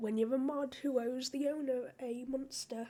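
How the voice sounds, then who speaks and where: A woman speaks with a British accent. Her intonation stays fairly even at a fairly slow pace. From United Kingdom. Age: young. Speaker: streamer and content creator. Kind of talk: casual podcast talk. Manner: casual, chatty.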